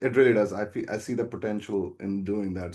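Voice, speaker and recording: A man's voice, dark and mellow in tone, comes through over a quiet background. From India, Delhi (Kashmiri family). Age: 30s. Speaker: YouTuber, football fan. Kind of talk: podcast interview. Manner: hesitant, many fillers.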